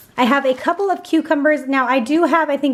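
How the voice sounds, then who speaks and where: A woman with a high pitch talks at a fairly quick pace. Her tone is upbeat, with ordinary pitch variation. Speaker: grocery haul vlogger. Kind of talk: casual vlog show-and-tell. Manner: chatty, upbeat.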